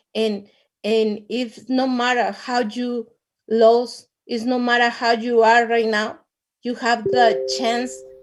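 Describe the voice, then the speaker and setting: A woman with a Latin American accent speaks fairly slowly. Her fairly high voice stays monotone and flat. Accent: non-native English, Latin American. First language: Spanish. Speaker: network marketing distributor. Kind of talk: testimony. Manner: halting, repeats words.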